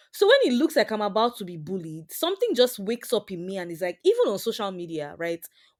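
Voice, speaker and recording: Very fast with hardly any pauses, a woman with a Nigerian accent speaks in an animated tone at a medium pitch, with lively intonation and big swings in loudness. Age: 20s. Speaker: software engineer. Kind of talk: interview conversation.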